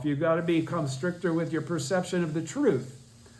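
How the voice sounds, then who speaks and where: A high-pitched man's voice with audible room echo. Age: 70s. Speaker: Buddhist study group teacher. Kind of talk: lecture. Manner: halting.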